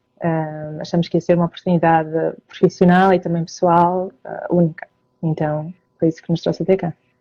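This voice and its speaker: A woman talks at a fairly quick pace in a fairly low, dark, mellow voice. Her intonation is monotone and flat. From northern Portugal, Porto. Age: 30s. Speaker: emigrant interviewee, self-employed marketer. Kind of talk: interview. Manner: hesitant, many fillers.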